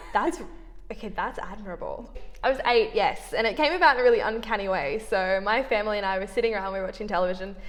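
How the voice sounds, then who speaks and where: The speaker has an Australian accent and lively intonation at a very fast pace. Music plays in the background, and there is audible room echo. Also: woman, fairly high pitch for a woman. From Australia, Sydney. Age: 20s. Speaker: law student. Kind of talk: interview.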